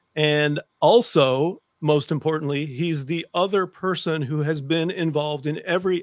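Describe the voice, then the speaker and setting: The sound is dry with no echo, set against a quiet background, with ordinary pitch variation. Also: man. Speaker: podcast host. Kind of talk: casual podcast talk. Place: home room. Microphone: studio mic.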